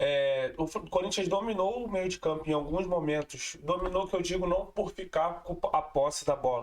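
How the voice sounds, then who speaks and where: This man talks at a moderate pace in a high pitch. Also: ordinary pitch variation, hardly any pauses. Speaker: football fan channel host. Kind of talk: post-match commentary vlog.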